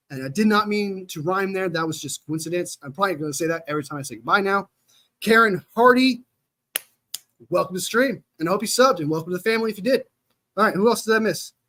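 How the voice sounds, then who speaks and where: A man speaks in a raised, projected voice at a very fast pace, high in pitch. His tone is bright and sharp, with ordinary pitch variation. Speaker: sports fan streamer. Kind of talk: live stream chat. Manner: casual, animated.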